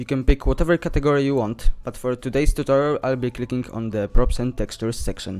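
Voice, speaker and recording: A man with a non-native accent talks at a very fast pace with hardly any pauses, using medium pitch, fairly even intonation and big swings in loudness. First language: not English. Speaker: video game modding tutorial creator. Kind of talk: tutorial.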